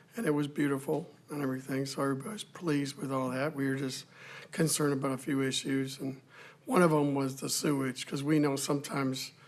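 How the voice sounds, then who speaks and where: A man with an American accent, a fairly high pitch, a fairly quick pace and fairly even intonation. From North Carolina, Union County area. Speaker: local resident giving public comment. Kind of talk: public comment at town meeting. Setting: council chamber meeting. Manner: loud.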